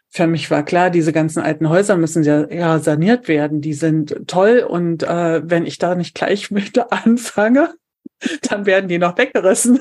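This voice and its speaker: A woman with a plain, everyday voice, fairly low in pitch, with ordinary pitch variation and a fairly slow pace. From eastern Germany, Brandenburg an der Havel. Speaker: civil engineer turned trainer and coach. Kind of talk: interview conversation.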